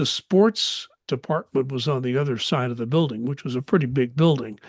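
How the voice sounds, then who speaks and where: An American accent marks this man's fairly quick, somewhat breathy speech at a medium pitch with ordinary pitch variation, recorded with a dry, close sound, no echo and a quiet background. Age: 70s. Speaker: podcast host, local news commentator. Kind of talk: podcast commentary monologue. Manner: halting, with frequent fillers.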